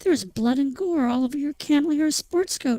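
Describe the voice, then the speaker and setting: A woman performs a put-on character voice pitched high. She keeps a moderate pace with ordinary pitch variation. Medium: read story.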